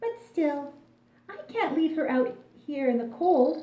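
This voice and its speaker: A woman puts on a character voice, pitched high and delivered fairly slowly. There is a slight echo. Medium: read story. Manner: stern.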